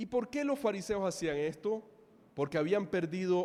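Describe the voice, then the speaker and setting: This man speaks with a Caribbean Colombian accent. His pitch swings very widely. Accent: Colombian Caribbean coastal (costeño). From Colombia, Caribbean coast (Santa Marta). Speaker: pastor. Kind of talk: sermon.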